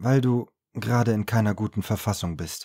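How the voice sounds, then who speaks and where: A man with a calm tone at a fairly slow pace, against a quiet background. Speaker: audiobook narrator. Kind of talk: audiobook reading. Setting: home studio recording. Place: studio.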